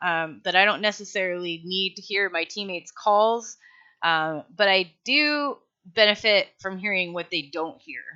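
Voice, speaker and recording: Against a quiet background, a woman talks at a moderate pace. Her pitch is medium, with ordinary variation. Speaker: online game player and tutorial maker. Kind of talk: casual tutorial monologue. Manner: rambling with many fillers.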